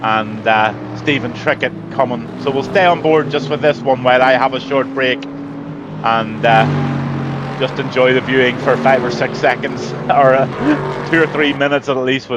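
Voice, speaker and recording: With a Northern Irish accent, a man at medium pitch speaks fairly slowly and with fairly even intonation, hardly pausing, over noticeable background noise. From Northern Ireland. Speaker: race commentator.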